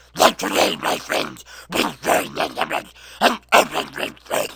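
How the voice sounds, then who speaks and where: A man growls in a put-on character voice. He speaks at a fairly slow pace. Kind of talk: mock-heroic wartime oration. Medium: voice reel. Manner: grandiose, declamatory.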